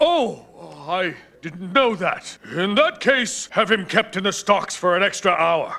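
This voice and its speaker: A man in a put-on character voice, high-pitched for a man, at a fairly slow pace. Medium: voice reel. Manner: haughty.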